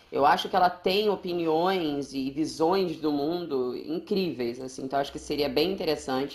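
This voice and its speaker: A woman with a very deep, low pitch speaks with hardly any pauses and ordinary pitch variation over noticeable background noise. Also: moderate pace. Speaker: podcast co-host. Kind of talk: casual chat. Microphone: echo in recording.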